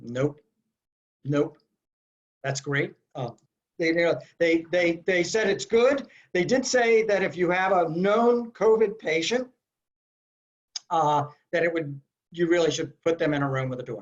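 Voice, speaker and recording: A man's high, lively voice, fairly slow with long, frequent pauses, over a quiet background. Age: 60s. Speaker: infection control expert; panelist. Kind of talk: webinar Q&A. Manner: hesitant, many fillers. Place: home room. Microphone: video call.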